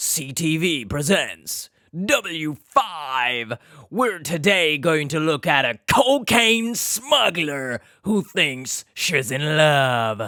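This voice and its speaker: In a put-on character voice, a man speaks very slowly at a fairly high pitch, on a very clean recording with a silent background. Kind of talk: advert-style announcer delivery. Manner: stereotypical announcer tone.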